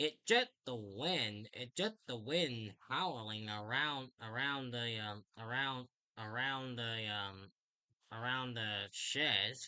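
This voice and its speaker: Speaking very slowly, a man uses a put-on character voice at medium pitch. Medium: read story.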